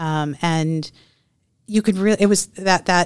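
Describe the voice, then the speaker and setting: On a very clean recording with a silent background, a woman speaks in a normal speaking voice. Her pitch is fairly low with ordinary pitch variation, and her pace is moderate. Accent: American. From Texas. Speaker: nonprofit chamber of commerce president. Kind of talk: interview.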